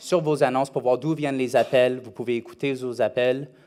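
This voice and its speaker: Here a man speaks at a medium pitch in a dark, mellow tone. His pace is moderate and his intonation fairly even. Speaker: conference speaker on rental marketing. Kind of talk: conference presentation. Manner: halting, many hesitations.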